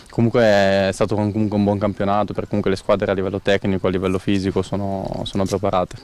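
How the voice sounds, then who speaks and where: Very fast and with hardly any pauses, a man talks at a fairly low pitch in a monotone, flat intonation, with a dry sound with no echo. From northern Italy, Busto Arsizio; northern Italy. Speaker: footballer. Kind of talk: interview. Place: stadium. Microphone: handheld.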